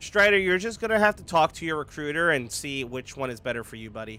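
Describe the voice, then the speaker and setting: A man talks with lively intonation and a bright, sharp tone. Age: 20s. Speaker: gaming streamer. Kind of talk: live stream chat while gaming. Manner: casual, filler-heavy.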